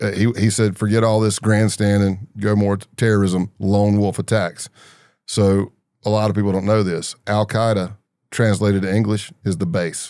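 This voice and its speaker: In a very clean recording with a silent background, a man with an American accent speaks at a moderate pace, his fairly low, dark, mellow voice held in monotone, flat intonation. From US South, Greenville, South Carolina. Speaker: retired undercover agent and author. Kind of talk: interview storytelling.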